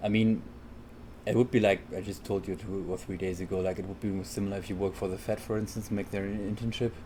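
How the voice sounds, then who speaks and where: Mumbling at a very fast pace, a man speaks with a dark, mellow, somewhat breathy tone, a fairly low pitch and fairly even intonation. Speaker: architect. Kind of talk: casual chat. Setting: recorded on the road, single directional mic.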